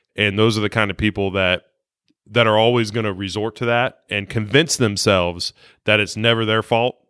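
In a normal speaking voice, a man with an American accent talks at a fairly low pitch, his intonation fairly even. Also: moderate pace. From Ohio, Dayton. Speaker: car dealership sales manager. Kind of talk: casual chat.

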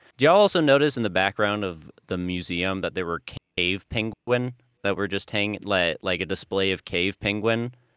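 A man speaks at a moderate pace with ordinary pitch variation. He has a plain, everyday voice, fairly low in pitch. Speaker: podcast co-host. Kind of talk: casual chat.

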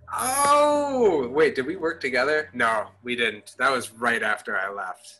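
A man with an American accent at a fairly slow pace, with hardly any pauses. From Madison, Wisconsin. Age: 20s. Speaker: tenant union organizer. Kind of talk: casual interview chat.

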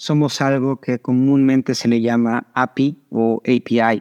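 Here a man speaks in a Mexican accent at a fairly slow pace and medium pitch. The sound is dry and close, with no echo. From Mexico. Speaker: startup founder. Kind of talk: interview.

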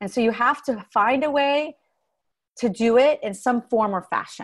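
A woman with an American accent, fairly high-pitched, animated, with very wide pitch swings at a moderate pace, on a very clean recording with a silent background. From Texas. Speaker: singer and performing artist consultant. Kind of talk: interview.

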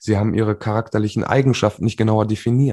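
Over a quiet background, a man speaks at a moderate pace and fairly low pitch, somewhat breathy and with a dark, mellow tone and ordinary pitch variation. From western Germany, Remscheid near Düsseldorf. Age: 30s. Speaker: life coach and speaker. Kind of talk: interview.

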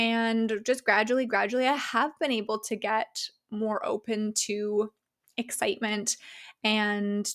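Using a plain, everyday voice, a woman speaks at a fairly slow pace with a fairly high pitch and fairly even intonation, in a very clean recording with a silent background. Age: 30s. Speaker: podcast host and life coach. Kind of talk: casual solo monologue.

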